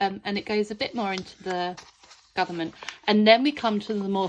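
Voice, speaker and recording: A woman at medium pitch with a British accent, speaking at a moderate pace. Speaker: homeschool curriculum creator. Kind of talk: product walkthrough. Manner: speech and pronunciation not always clear; casual, chatty with hesitations.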